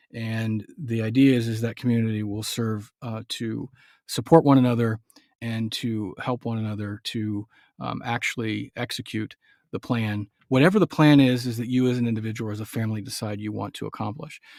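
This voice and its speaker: The man talks at a fairly quick pace with fairly even intonation. The recording is very clean with a silent background and a dry, close sound with no echo. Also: medium pitch for a man. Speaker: homestead radio show host. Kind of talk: live radio show monologue. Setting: live radio broadcast. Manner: hesitant, many fillers.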